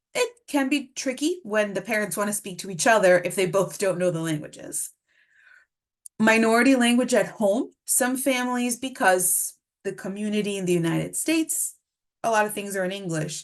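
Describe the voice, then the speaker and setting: A woman speaks with a Spanish accent and lively intonation. The background is quiet. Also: medium pitch for a woman, moderate pace. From Mexico City, then US from age nine. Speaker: speech-language pathologist presenter. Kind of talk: webinar lecture.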